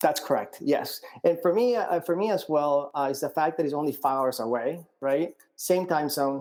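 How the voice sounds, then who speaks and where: The speaker has a Colombian accent and a moderate pace. Pitch variation is ordinary. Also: man, fairly high pitch for a man. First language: Spanish. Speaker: startup founder. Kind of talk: interview. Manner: halting, many fillers and repeats.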